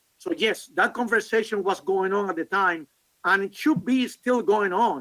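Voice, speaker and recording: A man's raised, projected voice, high in pitch, bright and sharp in tone, at a fairly slow pace. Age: 60s. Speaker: session moderator presenting on behalf of the author. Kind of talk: Q&A discussion at a conference session. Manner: halting, many fillers.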